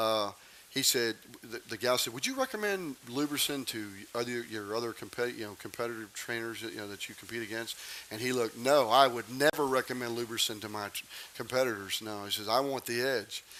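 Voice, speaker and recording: Intonation stays fairly even at a fairly quick pace. Noticeable background noise sits behind the voice. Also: man, medium pitch for a man. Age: 60s. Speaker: equine veterinarian and supplement maker. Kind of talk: promotional interview.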